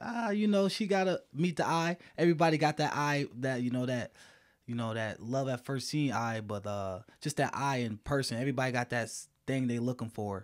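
A man with an American accent talks at a fairly quick pace over a quiet background. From US Midwest, Dearborn Heights, Michigan. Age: 20s. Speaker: dating show contestant. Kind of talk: casual chat. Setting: studio. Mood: relaxed, smiling. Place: home room. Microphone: studio mic.

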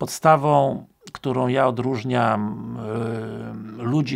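This man speaks with ordinary pitch variation. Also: quiet background. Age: 50s. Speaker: police recruitment trainer. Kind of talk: casual talk to camera. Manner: hesitant with filler sounds. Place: home room.

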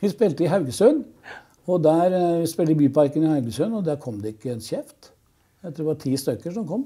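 The tone is dark and mellow, with big swings in loudness and a quiet background. The pace is fairly quick, the intonation lively. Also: man. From Oslo east, Norway; Norway. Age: 70s. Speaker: rock musician. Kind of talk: casual chat. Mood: relaxed, amused reminiscing. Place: studio. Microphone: lapel.

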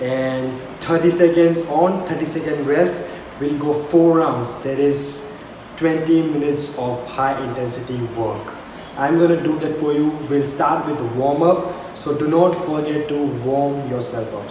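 The speech comes at a fairly slow pace with ordinary pitch variation. There is audible room echo and light background noise. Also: man. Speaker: fitness vlogger. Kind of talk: workout tutorial intro. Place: home room. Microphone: camera far.

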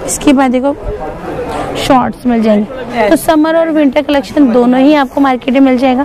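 With faint background noise and faint crowd noise behind her, a woman speaks in a high voice with a dark, mellow tone. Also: ordinary pitch variation, moderate pace.

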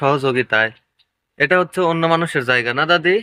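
A man with an ordinary speaking voice talks at a fairly high pitch with ordinary pitch variation. The sound is dry and close with no echo, over a quiet background. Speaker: YouTuber and auto-rickshaw driver. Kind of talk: vlog narration and interview.

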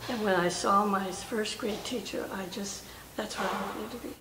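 There is noticeable background noise as a woman talks with ordinary pitch variation. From Oakland, California. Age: 80s+. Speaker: war veteran. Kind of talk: interview answer. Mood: warm, reflective, smiling. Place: hall.

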